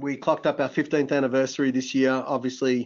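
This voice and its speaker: A man at a medium pitch with an Australian accent. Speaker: tech company CEO. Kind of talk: webinar discussion. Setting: online webinar. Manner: fast.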